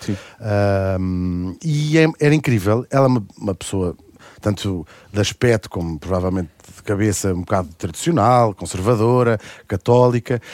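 Recorded very cleanly against a silent background, with a dry, close sound and no echo, a man with an unremarkable speaking voice talks at a moderate pace in a fairly low pitch with lively intonation. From Brazil (Rio de Janeiro). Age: 40s. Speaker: radio host and author. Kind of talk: casual chat.

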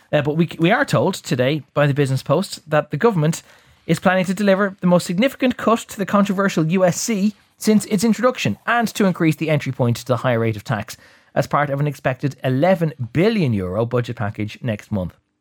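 Talking at a very fast pace with an Irish accent, a man uses a fairly high pitch and very wide pitch swings on a very clean recording with a silent background. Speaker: radio host. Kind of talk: current affairs newspaper review. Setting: studio.

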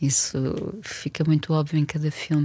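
Noticeable background noise sits behind the recording. A woman speaks at a fairly slow pace. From Portugal, Porto. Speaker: film director. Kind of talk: casual chat.

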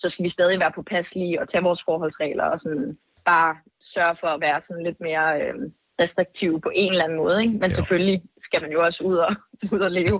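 A woman with a fairly low pitch speaks at a very fast pace using fairly even intonation. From Denmark. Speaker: singer. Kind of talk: casual chat. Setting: phone call.

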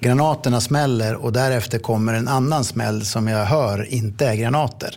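In an unremarkable speaking voice, a man talks at medium pitch and a moderate pace with ordinary pitch variation. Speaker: police incident commander. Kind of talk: interview testimony.

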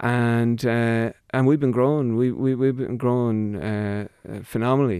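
With an Irish Midlands accent, a man speaks fairly slowly at a medium pitch, his tone dark and mellow and his intonation fairly even. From Ireland, County Longford. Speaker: company managing director. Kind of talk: radio interview. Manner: halting.

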